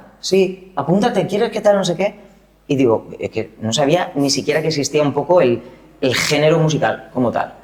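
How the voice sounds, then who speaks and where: Noticeable background noise accompanies the speech. The intonation is lively and the pace moderate. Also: man, fairly high pitch for a man. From Valencian Community, Spain. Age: 40s. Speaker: singer, dancer and choreographer. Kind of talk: interview. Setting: art gallery in Madrid.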